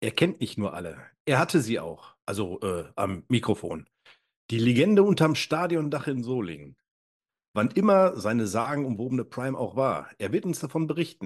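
A man's medium-pitched voice with vocal fry, moderate pace and very wide pitch swings against a quiet background. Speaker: guest co-host. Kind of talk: scripted intro; casual chat.

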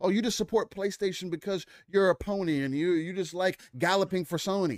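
A man's high-pitched voice comes across dry and close, with no echo. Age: 20s. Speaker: gaming show co-host. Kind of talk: casual chat. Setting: video call. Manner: animated.

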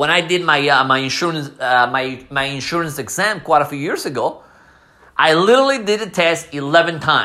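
Words come out at a fairly quick pace. A non-native accent colors the speech. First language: not English. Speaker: podcast host; former soccer coach. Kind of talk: casual monologue. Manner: halting, many fillers.

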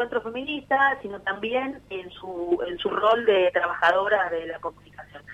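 There is noticeable background noise as a woman speaks at a moderate pace. Her voice is fairly high, with lively intonation. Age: 40s. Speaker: union activist. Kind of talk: casual radio interview.

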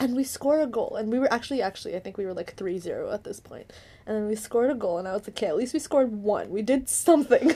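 Very fast and full of lively intonation, the voice has a dark, mellow tone. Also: woman. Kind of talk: movie commentary chat. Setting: studio with headphones. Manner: loud.

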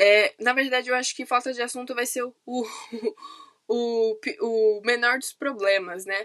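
A woman speaks at a moderate pace with long, frequent pauses and fairly even intonation. Her high, bright, sharp voice swings widely in loudness. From São Paulo city, Brazil. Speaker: podcaster, university student. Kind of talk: casual monologue. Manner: hesitant, many fillers.

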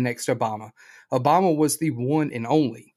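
A plain, everyday voice with lively intonation comes through on a very clean recording with a silent background. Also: man. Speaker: podcast host. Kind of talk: casual podcast interview.

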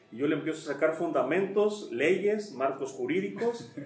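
Over noticeable background noise and audible room echo, the voice moves through very wide pitch swings. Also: man. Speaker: foreign trade expert and businessman. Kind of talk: interview.

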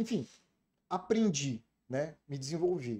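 Here a man speaks with a fairly high pitch and lively intonation. His tone is dark and mellow. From Rio de Janeiro, raised in Brasília. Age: 40s. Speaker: information security specialist. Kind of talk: casual interview chat.

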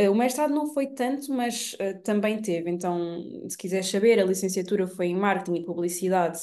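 Noticeable background noise behind fairly quick delivery and ordinary pitch variation. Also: woman. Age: 20s. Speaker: digital marketing entrepreneur. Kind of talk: casual chat.

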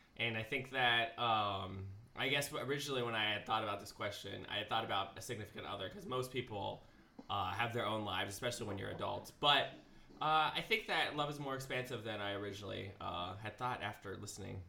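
This man talks at a very fast pace. His pitch sits in the medium range. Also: ordinary pitch variation. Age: 20s. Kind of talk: casual chat.

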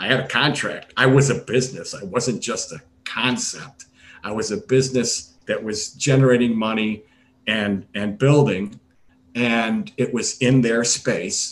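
Ordinary pitch variation and a fairly slow pace in an ordinary speaking voice. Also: man, medium pitch for a man. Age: 60s. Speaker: retired gastroenterologist, startup medical officer. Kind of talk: interview.

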